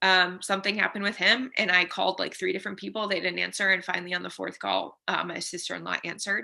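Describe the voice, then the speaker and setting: With an American accent, a woman talks at a very fast pace with hardly any pauses over a quiet background. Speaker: teacher sharing mental health story. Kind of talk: podcast interview, personal testimony. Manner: halting.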